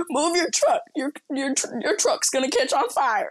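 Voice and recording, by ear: Using a put-on character voice, a woman speaks at a high pitch with a raspy quality, lively intonation and a fairly slow pace.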